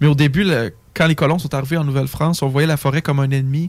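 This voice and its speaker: A man speaks at a fairly high pitch in a somewhat breathy voice. His intonation stays fairly even. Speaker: forestry engineering student. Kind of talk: casual chat.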